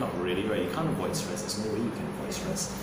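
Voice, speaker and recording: A man's voice with audible room echo and loud background noise. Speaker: fitness or nutrition coach. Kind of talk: interview answer. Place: gym.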